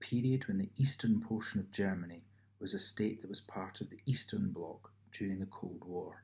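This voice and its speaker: A man talks in a Scottish accent. His voice is somewhat breathy. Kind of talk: ASMR reading of an encyclopedia article. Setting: home apartment with background noise.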